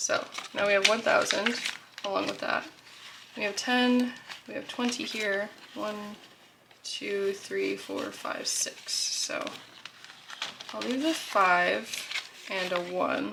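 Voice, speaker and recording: Amid noticeable background noise and audible room echo, a woman speaks very slowly with long, frequent pauses. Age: 20s. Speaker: budgeting vlogger. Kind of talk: casual tutorial vlog. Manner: casual with many fillers.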